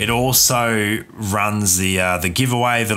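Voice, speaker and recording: With an Australian accent, a man talks in a relaxed tone at a fairly low pitch. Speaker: gaming streamer. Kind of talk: live stream chat with commentary. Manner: casual, relaxed.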